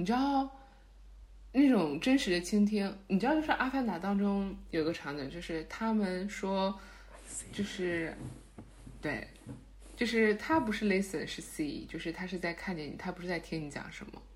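A woman with a medium-pitched, somewhat breathy voice speaks at a moderate pace with lively intonation, big swings in loudness and long, frequent pauses. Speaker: podcast co-host. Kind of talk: casual chat.

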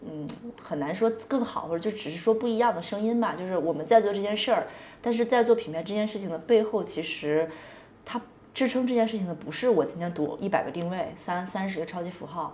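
In a room with audible echo and noticeable background noise, a woman talks at a fairly quick pace, her medium pitch carried by lively intonation. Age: 20s. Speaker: podcast host. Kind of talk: casual chat. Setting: office.

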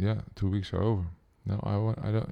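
With a Dutch accent, a man speaks in a dark, mellow tone. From Netherlands, Amsterdam. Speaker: pianist and composer. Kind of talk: interview. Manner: hesitant, with many fillers.

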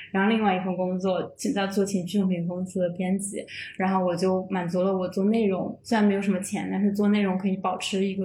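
A woman with a medium pitch talks at a fairly quick pace. Her intonation is monotone and flat, and audible room echo is present. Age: 20s. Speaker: freelance writer. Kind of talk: casual chat.

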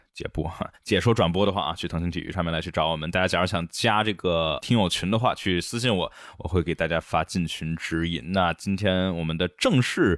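The voice moves at a fairly quick pace with hardly any pauses. Its pitch variation is ordinary. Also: man, very deep, low pitch for a man. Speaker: F1 podcast host. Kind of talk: casual chat, race review podcast.

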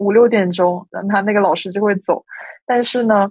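An ordinary speaking voice from a woman. She talks at a moderate pace with ordinary pitch variation. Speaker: university student, competition participant. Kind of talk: casual chat.

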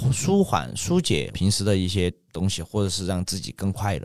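This man's pitch ranges very widely. Behind him the background is silent, and the recording is very clean. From Sichuan, Ya'an. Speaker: shop owner. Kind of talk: casual chat.

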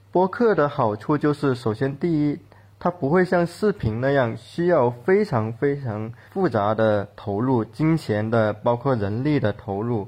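A man with a medium pitch speaks at a fairly slow pace, with hardly any pauses. His voice is somewhat breathy, with lively intonation. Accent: Cantonese. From Guangdong, China. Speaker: fiction writer and podcast co-host. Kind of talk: casual panel discussion.

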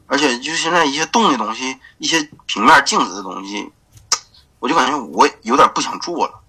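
A man speaks in a bright, sharp tone. His pitch swings very widely and his loudness swings a lot. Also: moderate pace. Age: 20s. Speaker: e-commerce graphic designer. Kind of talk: interview. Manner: halting, many fillers.

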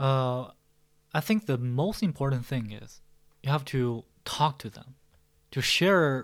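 A man with a Chinese accent speaks at a fairly slow pace in a very clean recording with a silent background. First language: Mandarin Chinese. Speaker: podcast host. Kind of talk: mock speaking exam practice. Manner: hesitant with frequent fillers.

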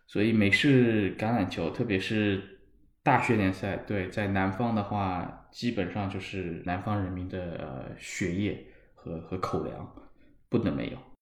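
In a room with audible echo, a man speaks slowly-ish at a fairly slow pace, his fairly low voice showing ordinary pitch variation. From Shanghai, China. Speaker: football fan. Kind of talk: casual chat. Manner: halting, repeats words.

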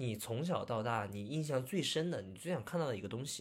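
A man talks fairly quickly, his pitch leaping very widely up and down. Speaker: returning podcast guest, film commentator. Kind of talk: casual chat. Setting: remote online recording.

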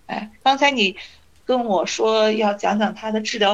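A woman with an ordinary speaking voice, fairly high in pitch, at a moderate pace. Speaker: teacher and cancer patient. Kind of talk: interview.

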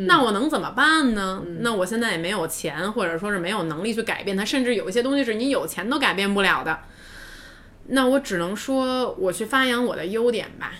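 A woman's fairly high voice at a fairly quick pace, with lively intonation and noticeable background noise. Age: 30s. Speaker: podcast co-host. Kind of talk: casual chat. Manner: loud, with loud laughter.

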